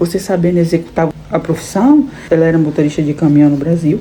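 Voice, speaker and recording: Amid noticeable background noise, a woman speaks at a moderate pace in a fairly low voice with ordinary pitch variation. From Brazil, Salvador (Bahia). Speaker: immigrant vlogger. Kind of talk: casual vlog monologue.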